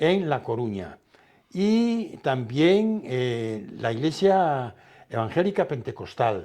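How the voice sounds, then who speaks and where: Over a quiet background, a man speaks at a very slow pace in a fairly high pitch. His dark, mellow tone carries very wide pitch swings. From Galicia, Spain. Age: 80s+. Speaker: retired pastor. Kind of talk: interview. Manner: halting, repeats words.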